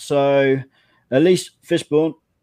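The voice has a dark, mellow tone and an English accent, with a dry, close sound and no echo. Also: man. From England. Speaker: podcast producer. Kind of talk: casual chat.

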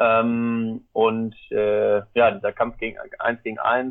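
A man's voice at medium pitch. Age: 30s. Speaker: tennis coach and mental trainer. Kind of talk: interview.

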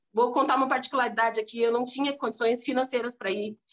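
A woman is speaking. Her pitch is high. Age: 40s. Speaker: motivational speaker and entrepreneur. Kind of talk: interview. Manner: animated.

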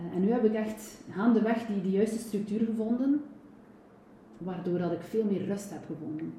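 A woman's fairly high voice at a moderate pace with ordinary pitch variation, plus audible room echo and noticeable background noise. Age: 40s. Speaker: personal trainer and nutrition coach. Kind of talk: interview.

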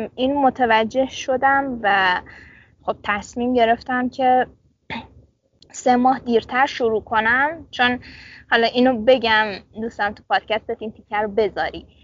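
A woman speaks in a high voice at a fairly slow pace. Her loudness swings widely, and she takes long, frequent pauses. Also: fairly even intonation. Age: 20s. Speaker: medical student. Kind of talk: casual interview. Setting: outdoors in dorm courtyard.

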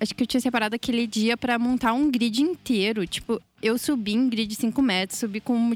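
With a fairly high pitch and fairly even intonation, a woman speaks at a moderate pace in a normal speaking voice. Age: 20s. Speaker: sound technician. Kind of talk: casual chat.

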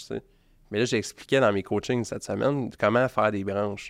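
The speaker has a Quebec accent and talks at a moderate pace with ordinary pitch variation, on a very clean recording with a silent background. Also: man. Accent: Québécois French. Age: 30s. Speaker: marketing agency owner. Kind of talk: casual interview.

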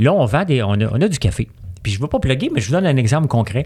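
A somewhat breathy male voice. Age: 50s. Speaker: entrepreneur. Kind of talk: casual chat.

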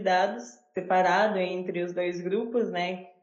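Monotone, flat intonation from a woman at a medium pitch, with audible room echo. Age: 20s. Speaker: university student researcher. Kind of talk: interview.

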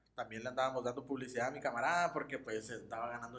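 Pitched at a medium level, a man talks at a very fast pace. His pitch variation is ordinary. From Mexicali, Baja California, Mexico. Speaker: podcast co-host. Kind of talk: casual chat.

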